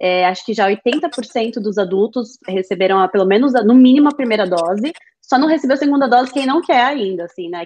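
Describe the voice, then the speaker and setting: A woman's plain, everyday voice at a moderate pace. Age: 30s. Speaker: Brazilian immigrant mother. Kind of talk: casual chat.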